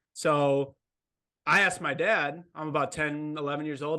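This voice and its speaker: Over a quiet background, a man with an American accent speaks in a fairly high, bright, sharp voice with fairly even intonation. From Wisconsin, near Milwaukee. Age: 20s. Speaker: vet student and ultra runner. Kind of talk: casual interview chat.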